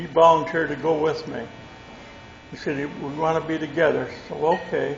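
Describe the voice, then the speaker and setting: A man with a Midwestern American accent talks in a fairly high voice. Noticeable background noise and audible room echo fill the recording. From Michigan, US Midwest. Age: 90s. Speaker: war veteran. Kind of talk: testimony. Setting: stage with audience.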